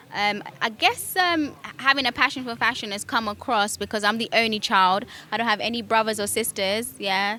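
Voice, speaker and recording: A woman's fairly high voice with a British accent, ordinary pitch variation and a moderate pace. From United Kingdom (Kenyan-born). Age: 30s. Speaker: fashion stylist. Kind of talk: interview testimony. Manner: hesitant, many fillers.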